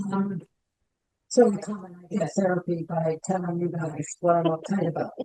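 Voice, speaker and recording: Soft-spoken and fairly low-pitched, a woman talks at a moderate pace with fairly even intonation but big swings in loudness. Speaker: committee member. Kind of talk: meeting update. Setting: meeting room. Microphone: too quiet, far from mic.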